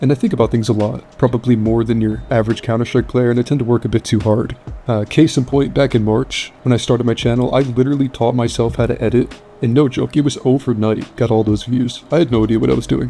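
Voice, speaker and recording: Over background music, a man speaks at a very fast pace in a medium pitch. His loudness is very even and his intonation fairly even. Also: hardly any pauses. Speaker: gaming youtuber. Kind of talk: casual commentary monologue.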